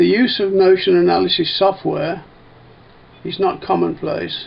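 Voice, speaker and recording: A man with a Birmingham accent speaks at a fairly slow pace. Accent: Brummie. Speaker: industrial engineering instructor. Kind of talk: tutorial presentation. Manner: clear, deliberate.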